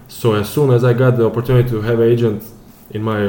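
A man's very fast, monotone, flat delivery in a Serbian accent, fairly low in pitch, over noticeable background noise. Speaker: professional footballer. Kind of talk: casual interview. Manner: halting.

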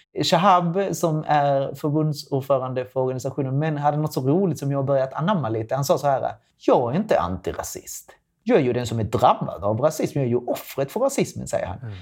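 This man has an unremarkable speaking voice. It sits fairly high in pitch, with lively intonation and a fairly quick pace. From Latin America. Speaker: sex educator. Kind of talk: casual chat.

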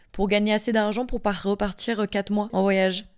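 An unremarkable speaking voice from a woman, medium-pitched, fairly even in intonation, at a moderate pace. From Marseille, southern France. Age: 20s. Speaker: young professional. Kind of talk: casual interview.

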